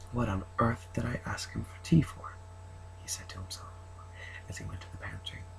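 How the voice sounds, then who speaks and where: A soft-spoken man at a moderate pace, with noticeable background noise. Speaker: ASMR creator. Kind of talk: reading aloud.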